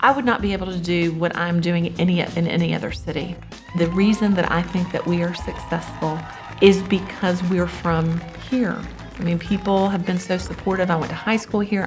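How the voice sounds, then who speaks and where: Music plays behind a woman with a Memphis accent who speaks at a moderate pace, her pitch fairly low and her intonation fairly even. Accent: Southern US (Memphis). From Memphis, Tennessee. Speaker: actor, producer, theatre teacher. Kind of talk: interview answer.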